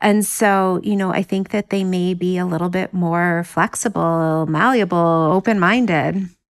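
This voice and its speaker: An ordinary speaking voice moves at a fairly slow pace, with hardly any pauses and fairly even intonation. The recording is very clean, its background silent. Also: woman, medium pitch for a woman. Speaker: professor of psychology. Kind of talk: interview.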